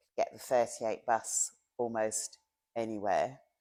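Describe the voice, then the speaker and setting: A woman with a London accent, very deep and low in pitch, dark and mellow in tone, at a fairly slow pace. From South London, England. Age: 60s. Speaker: long-time local resident. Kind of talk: oral history interview.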